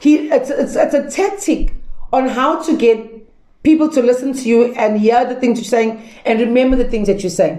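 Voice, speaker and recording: Loud speech at a moderate pace comes with audible room echo. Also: woman. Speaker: pastor and Bible teacher. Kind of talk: lecture. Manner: casual, conversational teaching with fillers.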